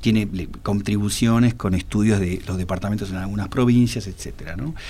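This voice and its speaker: Audible room echo surrounds a man speaking at a moderate pace, his fairly low voice held in fairly even intonation. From Argentina. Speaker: historian and author. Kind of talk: interview. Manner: halting, many fillers.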